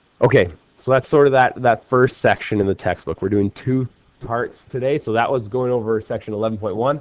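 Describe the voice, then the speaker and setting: Talking fairly quickly, a man has a normal speaking voice and ordinary pitch variation. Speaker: math teacher. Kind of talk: lecture. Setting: recorded video lesson.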